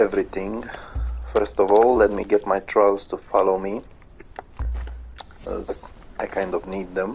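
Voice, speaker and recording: Music plays in the background. A man talks at a fairly slow pace. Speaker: gamer. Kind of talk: live gameplay commentary. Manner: stuttering, hesitant.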